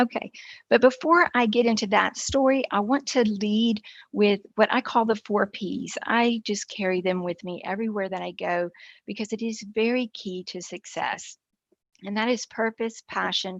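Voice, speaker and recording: An ordinary speaking voice from a woman with an American accent, fairly high in pitch with ordinary pitch variation, at a moderate pace in a dry, close sound with no echo and a quiet background. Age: 60s. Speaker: entrepreneur and keynote speaker. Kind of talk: keynote talk.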